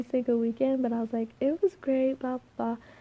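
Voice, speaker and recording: A soft-spoken woman has a high pitch. Her tone is dark and mellow. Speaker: student vlogger. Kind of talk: casual chat. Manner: quiet.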